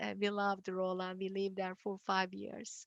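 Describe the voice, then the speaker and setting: A woman speaks with a Turkish accent at a moderate pace. The sound is dry and close with no echo, over a quiet background. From Turkey (Istanbul). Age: 50s. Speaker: university dean and engineering professor. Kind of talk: presentation talk.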